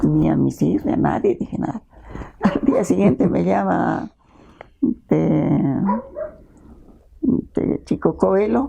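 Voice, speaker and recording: Words come out very slowly. Long pauses break them up frequently. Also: woman. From Peru, Ancash highlands. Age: 70s. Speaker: children's author and teacher. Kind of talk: interview, casual storytelling. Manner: animated.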